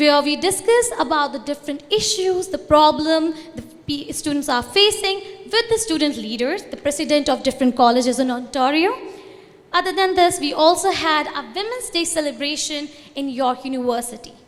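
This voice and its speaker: A woman with an Indian accent speaks at a high pitch and a moderate pace. Her intonation is lively, and noticeable background noise is present. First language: Hindi. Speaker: student organization representative. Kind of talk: conference talk.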